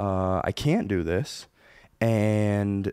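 The voice has a dark, mellow tone and an American accent. The sound is dry and close with no echo, on a very clean recording with a silent background. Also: man. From Michigan, Belding. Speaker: musician. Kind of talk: casual interview chat.

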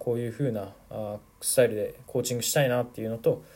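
His tone dark and mellow and somewhat breathy, a man speaks at a very fast pace. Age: 20s. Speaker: football podcaster and youth coach. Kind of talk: solo podcast monologue. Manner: casual, with many fillers.

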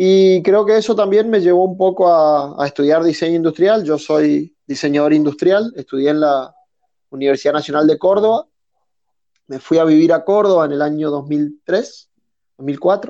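With a dark, mellow tone and a fairly high pitch, a man speaks at a moderate pace with ordinary pitch variation. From northern Argentina (Resistencia, Chaco). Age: 30s. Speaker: industrial designer and woodworker. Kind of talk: casual interview chat.

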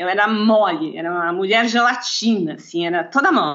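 This woman's voice sits fairly high in pitch. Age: 50s. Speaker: lawyer and bodybuilder. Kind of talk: interview.

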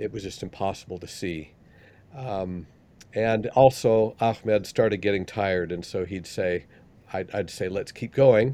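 On a very clean recording with a silent background, a man with an American accent speaks in a dark, mellow tone at a fairly low pitch, with ordinary pitch variation. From Utah, Salt Lake City. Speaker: scholar and church missionary. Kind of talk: casual chat. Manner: halting.

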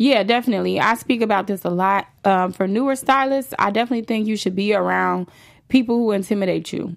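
A woman with an American accent talks at a very fast pace. Her medium pitch shows ordinary variation on a very clean recording with a silent background. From Chicago, south side (Roseland). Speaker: celebrity hairstylist. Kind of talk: interview. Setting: studio.

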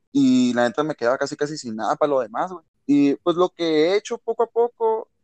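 A man's normal speaking voice, fairly high in pitch with lively intonation, in a dry, close sound with no echo. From Mexicali, Baja California, Mexico. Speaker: rapper and freestyler. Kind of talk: casual chat.

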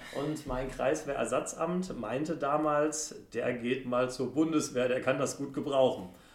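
With audible room echo, a man talks fairly slowly and fairly high, using ordinary pitch variation and hardly any pauses. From Germany, Sauerland (Brilon). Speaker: member of parliament, former law professor. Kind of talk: casual interview. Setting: parliament building office.

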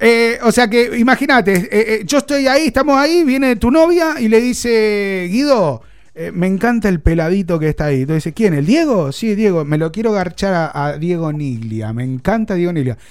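A man with a Rioplatense accent, high pitched and animated, at a moderate pace with very wide pitch swings. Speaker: radio host. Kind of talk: comedy radio chat. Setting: radio studio.

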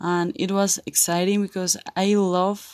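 In a Spanish accent, a woman at medium pitch talks at a very slow pace with fairly even intonation, in a dry, close sound with no echo on a very clean recording with a silent background. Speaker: college student and English learner. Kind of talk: monologue, language practice. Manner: halting, many hesitations.

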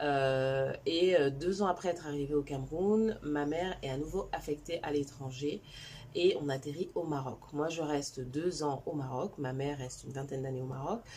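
A woman speaks at a moderate pace. Her voice is very deep and low, with a dark, mellow tone. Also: ordinary pitch variation. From China, then Cameroon. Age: 40s. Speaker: digital marketing coach. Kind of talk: personal storytelling vlog.

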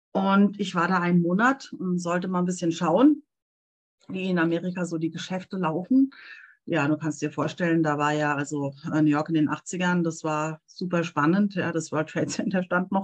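A woman's fairly low pitch at a moderate pace, with ordinary pitch variation. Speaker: translator and interpreter. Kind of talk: casual interview. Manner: animated.

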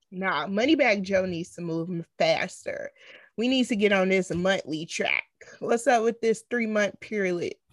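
At a fairly slow pace, a woman with an American accent uses an ordinary speaking voice at medium pitch with ordinary pitch variation. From Chicago. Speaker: podcast co-host. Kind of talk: casual chat.

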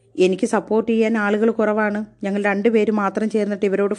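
A woman speaks in a fairly high pitch. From southern Kerala, Kollam district. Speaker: college teacher. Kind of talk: personal storytelling monologue. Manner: conversational.

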